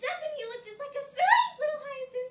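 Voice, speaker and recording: A woman puts on a squeaky, whiny character voice at an extremely high pitch, speaking at a moderate pace with ordinary pitch variation. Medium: read story.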